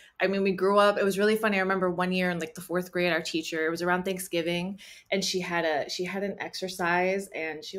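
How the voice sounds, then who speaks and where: This woman speaks with an American accent. Her pace is very fast. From Central New Jersey, Cuban American family. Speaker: writer and actor. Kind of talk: interview conversation. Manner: hesitant, many fillers.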